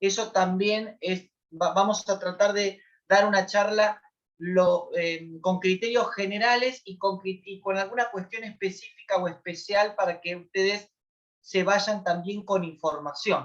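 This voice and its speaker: A woman's medium-pitched voice stays fairly even in its intonation. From Argentina, southern Greater Buenos Aires. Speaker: lawyer and lecturer on family violence. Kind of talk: lecture. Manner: hesitant, many fillers.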